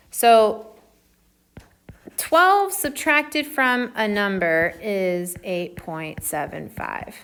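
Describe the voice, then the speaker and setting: A woman with an American accent speaks at a very slow pace, her fairly high voice making very wide pitch swings and big swings in loudness. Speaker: math teacher. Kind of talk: tutorial.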